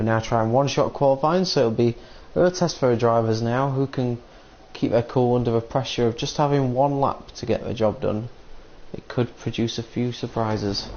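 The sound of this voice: A man talks at a moderate pace and medium pitch. His tone is slightly mellow, with ordinary pitch variation.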